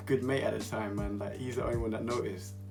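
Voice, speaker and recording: A man with a British accent speaks over music in the background. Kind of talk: casual talk to camera. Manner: whispered.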